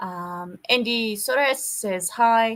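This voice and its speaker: The woman's pitch sits fairly high. Her voice has a bright, sharp tone. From South Africa. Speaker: conference session host. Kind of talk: moderating.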